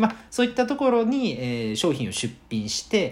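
Somewhat breathy and at a fairly quick pace, a man talks with very wide pitch swings. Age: 20s. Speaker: web business owner, podcaster. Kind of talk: solo podcast monologue.

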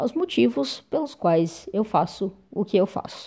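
Against a quiet background, a woman with a dark, mellow tone speaks at a very slow pace. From Brazil, Uberlândia, Minas Gerais. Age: 30s. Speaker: lawyer and council candidate. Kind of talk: personal monologue to camera.

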